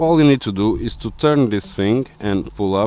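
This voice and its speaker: A man speaks at a fairly slow pace with lively intonation and a fairly low pitch, music playing in the background. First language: Portuguese. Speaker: car DIY YouTuber. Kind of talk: tutorial. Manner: hesitant with many fillers.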